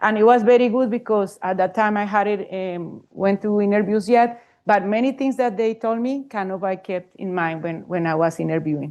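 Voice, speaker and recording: A woman speaks with a Spanish accent at a moderate pace, with ordinary pitch variation and hardly any pauses. The background is quiet. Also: medium pitch for a woman. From Colombia. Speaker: professor, panelist. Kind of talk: panel talk. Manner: halting.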